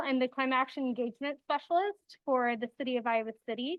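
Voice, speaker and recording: This woman's voice is loud and high-pitched, and its pitch varies in an ordinary way. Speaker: city sustainability staff presenter. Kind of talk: presentation.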